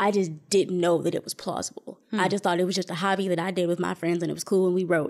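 An unremarkable speaking voice from a woman with an American accent, medium in pitch with fairly even intonation. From Flint, Michigan. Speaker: spoken word poet. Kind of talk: interview; spoken word performance.

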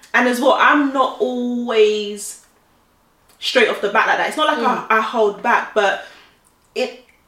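A woman with a high pitch and ordinary pitch variation speaks at a fairly slow pace with long, frequent pauses, with audible room echo. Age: 30s. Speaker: podcast co-host. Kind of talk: casual chat.

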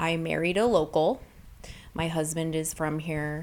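With a very deep, low pitch, a woman speaks in fairly even intonation. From Fairbanks, Alaska. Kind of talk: interview.

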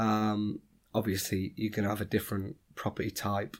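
A man speaks with a Yorkshire accent. His tone is dark and mellow. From Sheffield, northern England. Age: 20s. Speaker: property entrepreneur. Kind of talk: interview.

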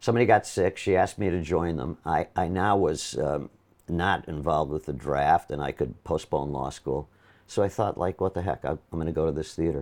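A man with an American accent speaks at a fairly quick pace in a very deep, low voice with vocal fry and ordinary pitch variation, over a quiet background. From Milwaukee, Wisconsin, US Midwest. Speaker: Broadway actor. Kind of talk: casual interview chat, anecdotal. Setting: interview at his home apartment. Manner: animated, storytelling, self-deprecating humor.

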